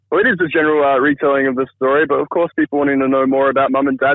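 Pitched fairly high, a man rattles along at a very fast pace in a monotone with flat intonation. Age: 30s. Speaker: viral social media user. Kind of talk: storytelling. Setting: phone call.

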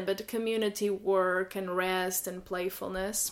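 A woman speaks in a Portuguese accent at medium pitch. Her intonation is monotone and flat, and her pace is fairly slow. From Portugal. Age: 30s. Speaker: illustrator and workshop facilitator. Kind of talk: casual interview chat.

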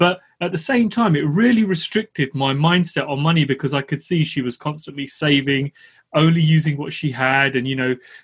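Against a quiet background, a man with a London accent talks at a fairly quick pace, his voice somewhat breathy, fairly high for a man, with ordinary pitch variation. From East London. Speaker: podcast host. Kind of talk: casual interview.

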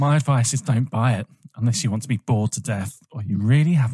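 Ordinary pitch variation in a plain read-aloud delivery.

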